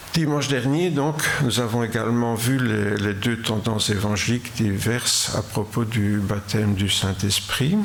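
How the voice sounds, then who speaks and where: Audible room echo, noticeable background noise, very even loudness and hardly any pauses. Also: man, medium pitch for a man, ordinary pitch variation. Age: 80s+. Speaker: preacher. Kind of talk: sermon. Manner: halting.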